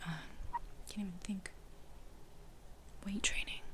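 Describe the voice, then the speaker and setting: A woman is whispering. Noticeable background noise can be heard. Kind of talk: ASMR whisper ramble. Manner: whispered.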